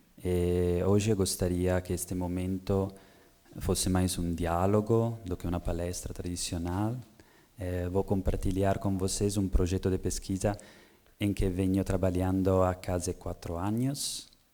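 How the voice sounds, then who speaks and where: Speaking at a fairly slow pace, a man with an Italian accent keeps his very deep, low voice monotone and flat. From Italy. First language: Italian (speaking Portuguese). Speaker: researcher. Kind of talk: lecture. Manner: halting with many hesitations.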